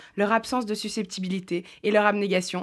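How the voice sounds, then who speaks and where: Her pace is moderate and her pitch medium for a woman. The woman's intonation stays monotone and flat. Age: 30s. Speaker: comedian. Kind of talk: scripted chronicle.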